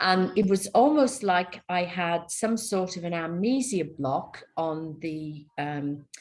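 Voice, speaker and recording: With a Welsh accent and lively intonation, a woman with a fairly low pitch talks at a very slow pace with hardly any pauses. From Wales. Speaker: spiritual healer. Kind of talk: interview.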